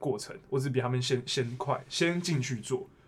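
A man speaks at a moderate pace in a normal speaking voice, fairly high in pitch. The recording is very clean with a silent background. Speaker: accountant turned bank worker. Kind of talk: casual chat.

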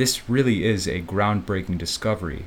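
A man's fairly low voice in an American accent, with ordinary pitch variation. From US Midwest, Chicago. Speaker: English teacher. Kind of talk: educational podcast explanation. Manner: slow and clear for learners.

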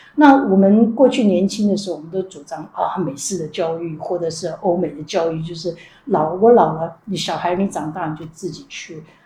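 A woman's normal speaking voice, fairly low in pitch with ordinary variation, at a moderate pace with hardly any pauses. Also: big swings in loudness. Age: 60s. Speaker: retired national health insurance official. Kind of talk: interview.

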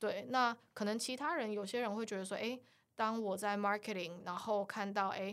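A woman speaks at a moderate pace in a medium pitch with fairly even intonation. Her loudness swings widely. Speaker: e-commerce project manager. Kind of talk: interview. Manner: hesitant fillers.

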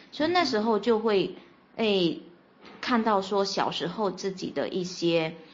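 A woman's medium-pitched voice with lively intonation at a fairly slow pace, with audible room echo. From Fuzhou, Fujian, China. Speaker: podcast guest sharing life story. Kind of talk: personal testimony in interview.

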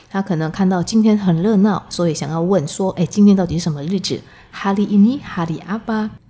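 A woman speaks in a somewhat breathy voice. She leaves hardly any pauses. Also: medium pitch for a woman, ordinary pitch variation. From Indonesia (ethnic Chinese). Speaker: Indonesian language teacher. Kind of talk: language lesson. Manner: slow, explanatory.

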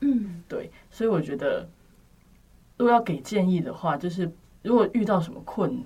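Speaking at a moderate pace with long, frequent pauses, a woman uses lively intonation at a medium pitch. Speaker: university student. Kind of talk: casual chat.

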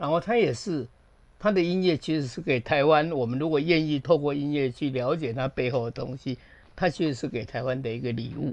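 A man's fairly high voice at a fairly quick pace, with ordinary pitch variation over a quiet background, an ordinary speaking voice. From Taiwan. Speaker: film director. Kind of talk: casual chat.

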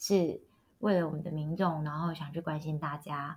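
Her voice sits fairly low and carries a somewhat breathy quality as this woman talks. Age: young. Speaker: wedding emcee and local election candidate. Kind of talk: interview.

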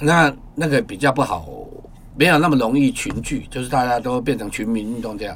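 A man's medium-pitched voice at a fairly quick pace, with ordinary pitch variation over noticeable background noise. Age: 50s. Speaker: photographer and poet. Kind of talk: interview conversation.

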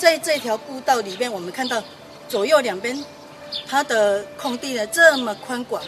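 Lively intonation and big swings in loudness come at a moderate pace over noticeable background noise. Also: woman, high pitch for a woman. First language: Taiwanese Hokkien (speaking Chinese). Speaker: heritage site guide. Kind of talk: guided tour explanation.

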